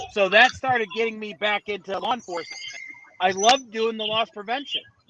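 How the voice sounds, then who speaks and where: With a northern US accent, a man is speaking. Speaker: finance professional and podcast guest. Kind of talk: casual interview chat.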